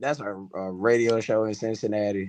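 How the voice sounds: With a slightly mellow tone and fairly even intonation, a man talks at a moderate pace in a fairly low voice.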